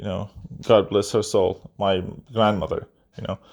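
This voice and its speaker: A man speaks with a non-native accent. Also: very clean recording, silent background. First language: not English (third language). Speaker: gaming YouTuber. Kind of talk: casual response monologue. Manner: halting, stuttering; repetitive filler words.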